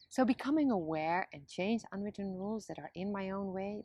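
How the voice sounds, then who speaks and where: Speaking at a moderate pace with a Dutch accent, a woman with a medium-pitched voice is recorded with a dry, close sound, no echo and a quiet background. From Netherlands. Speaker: video blogger. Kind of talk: scripted monologue.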